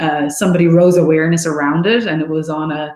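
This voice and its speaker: A woman speaks at a moderate pace in a fairly low pitch. Her tone is dark and mellow, with ordinary pitch variation. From Ireland. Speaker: architect. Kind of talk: career talk to school students.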